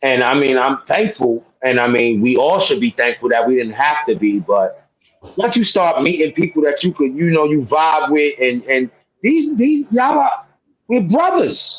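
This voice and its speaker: Keeping his loudness very even, a man speaks in a New York accent. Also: moderate pace. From New York, Harlem. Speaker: sports podcast co-host. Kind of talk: casual chat.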